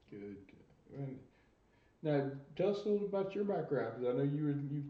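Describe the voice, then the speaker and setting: The speaker talks fairly quickly with an American accent. Audible room echo is present in the recording. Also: man. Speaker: retired pro wrestler, interview host. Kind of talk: interview. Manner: slurred, stuttering speech.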